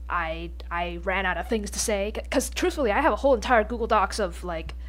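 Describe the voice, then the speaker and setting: A woman's voice with audible room echo. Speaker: podcast host. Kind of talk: casual solo podcast monologue. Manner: stuttering, halting with pauses.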